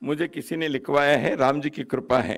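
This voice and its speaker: A man's fairly high voice with ordinary pitch variation, in a very clean recording with a silent background. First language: Kannada (speaking Hindi). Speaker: guest speaker at a book launch. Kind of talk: formal ceremonial speech.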